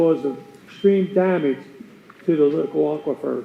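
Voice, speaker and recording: A loud male voice at a moderate pace, ordinary pitch variation, and noticeable background noise. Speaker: resident speaking at public comment. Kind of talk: public comment. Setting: county board meeting room with audience.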